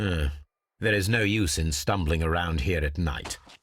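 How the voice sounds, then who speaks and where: A man's put-on character voice, growling and very deep, at a moderate pace with ordinary pitch variation and very even loudness. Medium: video game. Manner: dry, clipped, sardonic.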